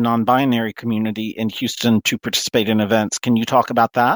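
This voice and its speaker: Using a normal speaking voice, a man with a medium pitch talks at a fairly quick pace. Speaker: radio host. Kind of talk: interview.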